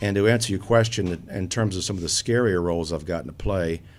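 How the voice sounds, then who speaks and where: A man's very deep, low voice with lively intonation at a fairly quick pace, over music in the background. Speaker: theater director and actor. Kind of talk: casual interview. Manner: expressive.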